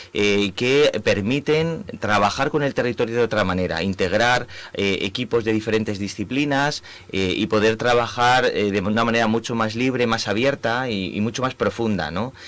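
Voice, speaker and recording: The speaker has a Spanish accent and talks at a moderate pace with ordinary pitch variation. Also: man, medium pitch for a man. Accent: Spanish (Spain). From Spain. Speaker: urban planning professor. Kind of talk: radio interview. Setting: radio studio. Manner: halting, many fillers.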